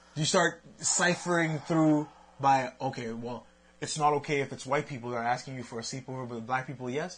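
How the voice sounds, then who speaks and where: A man speaks at a fairly quick clip with a fairly high pitch and ordinary pitch movement. His voice is somewhat breathy, and its loudness swings widely. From Haitian, Quebec. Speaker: podcast co-host, father. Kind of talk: casual chat on a live stream. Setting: Facebook live video.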